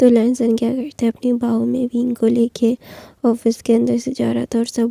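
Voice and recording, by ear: Woman's dark, mellow voice, fairly high in pitch, with vocal fry, a fairly slow pace and a dry, close sound with no echo.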